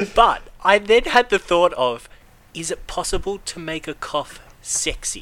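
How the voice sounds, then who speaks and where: A man with an Australian accent and a high pitch speaks fairly slowly in a bright, sharp tone, with lively intonation and big swings in loudness. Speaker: podcast host. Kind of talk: casual chat.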